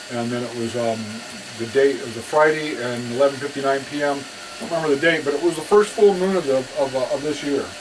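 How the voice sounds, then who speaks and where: A man talks at a very fast pace with fairly high pitch. His loudness swings a lot over noticeable background noise. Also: ordinary pitch variation. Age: 60s. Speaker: film archivist sharing personal testimony. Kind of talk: testimony. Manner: halting, many fillers and repetitions.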